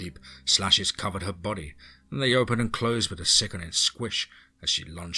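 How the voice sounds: The voice reads naturally, and its pitch varies a normal amount.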